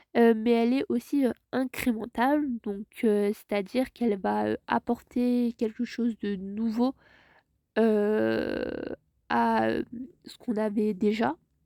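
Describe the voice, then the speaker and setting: A woman with a dark, mellow tone speaks at a very slow pace, with fairly even intonation and a dry, close sound with no echo. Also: fairly high pitch for a woman. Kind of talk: tutorial. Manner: hesitant, many filler sounds.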